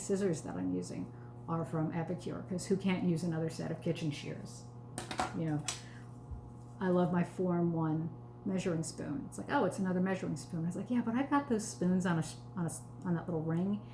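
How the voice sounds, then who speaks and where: A woman with a fairly low voice talks fairly quickly with lively intonation. Noticeable background noise and audible room echo surround her. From New York, the Bronx. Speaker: sales consultant. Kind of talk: live cooking demo. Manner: slightly slurred pronunciation; casual, chatty.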